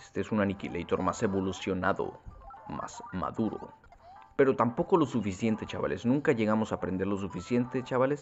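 Music plays in the background as a man speaks at a fairly quick pace. His medium-pitched voice has lively intonation. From Mexico. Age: 20s. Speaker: gaming youtuber. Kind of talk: gameplay commentary. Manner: casual, improvised.

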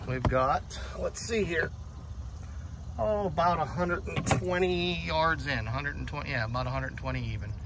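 Over noticeable background noise, a man speaks at a very slow pace with long, frequent pauses. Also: dry sound with no echo. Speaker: YouTuber filming his golf round. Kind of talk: vlog commentary. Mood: relaxed, some annoyance. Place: open country. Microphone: phone near.

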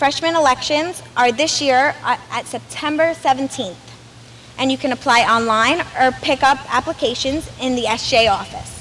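Speaking at a fairly slow pace, a woman with an American accent has a high pitch and ordinary pitch variation, with light background noise. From Brooklyn, New York; New York. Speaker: student body president. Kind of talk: welcome speech. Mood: warm, enthusiastic. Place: street. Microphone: podium.

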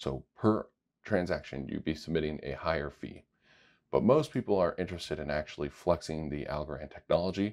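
A man speaks with lively intonation. Vocal fry runs through his voice. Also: quiet background. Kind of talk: tutorial.

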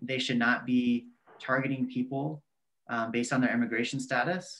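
Speaking with an American accent, a man keeps a moderate pace. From Texas, near San Antonio; Texas. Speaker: community organizer; guest. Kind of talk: interview. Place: home room. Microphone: video call.

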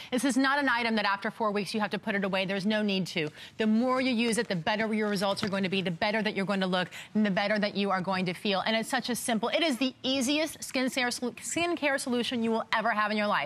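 A woman talks very fast with ordinary pitch variation. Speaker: guest. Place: studio.

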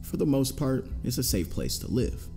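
Over music in the background, a man with a fairly low pitch speaks at a moderate pace, his pitch swinging very widely. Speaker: narrator. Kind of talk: true crime narration.

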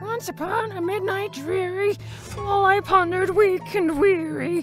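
Clear music plays in the background as a female-sounding voice in a put-on character voice speaks at a moderate pace with an extremely high pitch. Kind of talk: poetry reading.

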